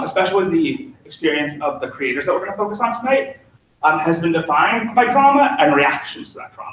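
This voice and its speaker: Talking at a fairly quick pace, a man has a high pitch with very wide pitch swings and big swings in loudness. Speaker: lecturer giving a talk. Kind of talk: informal presentation. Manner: fast talker; enthusiastic, many filler ums.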